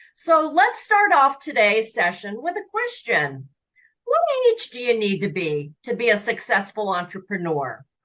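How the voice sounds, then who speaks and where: Bright, sharp tone with vocal fry, very wide pitch swings, and a fairly slow pace. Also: woman, fairly high pitch for a woman. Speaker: podcast host, franchise matchmaker. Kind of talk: podcast intro.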